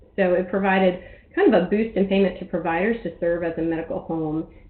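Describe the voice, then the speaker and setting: Amid noticeable background noise, a woman speaks at a fairly quick pace in a fairly low voice with fairly even intonation. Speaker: health center association policy staff. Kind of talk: webinar presentation. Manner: fast.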